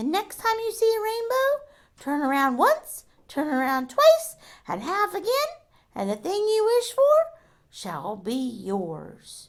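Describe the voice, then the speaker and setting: A woman's put-on character voice, squeaky and extremely high, fairly slow, with very wide pitch swings. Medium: read story.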